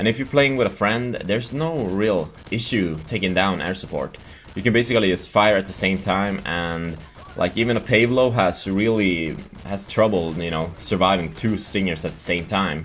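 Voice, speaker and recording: Someone with a Swedish accent speaks at a moderate pace with ordinary pitch variation, over noticeable background noise. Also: man, fairly low pitch for a man. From Sweden. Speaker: gaming youtuber. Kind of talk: gameplay commentary. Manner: halting.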